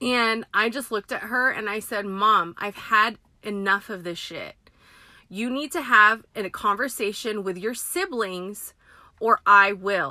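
A woman with a Californian accent, a fairly high pitch and a bright, sharp, animated tone, at a fairly slow pace with big swings in loudness, on a very clean recording with a silent background. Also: ordinary pitch variation. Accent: Californian American. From San Francisco Bay Area, Filipino American family. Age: 30s. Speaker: podcast host, parent. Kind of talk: casual monologue. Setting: in a car.

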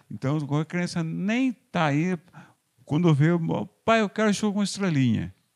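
The speech moves at a moderate pace with lively intonation and long, frequent pauses, the sound dry and close with no echo. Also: man, high pitch for a man. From Brazil, São Paulo state countryside (Porto Feliz). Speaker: street vendor. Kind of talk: interview.

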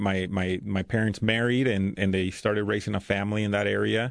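With a Spanish accent, a man talks fairly quickly in a fairly low pitch against a quiet background. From Mexico. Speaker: school principal. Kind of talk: casual interview conversation. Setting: podcast studio.

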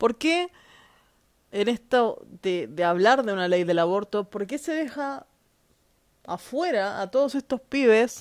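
Animated and fairly high-pitched, a woman speaks at a fairly slow pace with very wide pitch swings. The recording is very clean, with a silent background. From Chile. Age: 30s. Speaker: podcaster. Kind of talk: opinion monologue.

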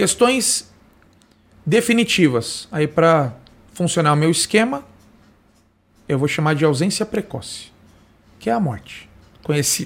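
A man at a fairly high pitch, with very wide pitch swings, a fairly slow pace and long, frequent pauses. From Brazil, Osasco (São Paulo area). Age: 30s. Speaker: insurance broker. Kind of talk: simulated sales pitch.

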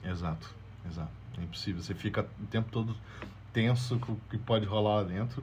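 A somewhat breathy man at fairly low pitch, fairly quick pace with long, frequent pauses, and audible room echo. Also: ordinary pitch variation. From Brazil. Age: 30s. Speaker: journalist. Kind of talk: storytelling interview.

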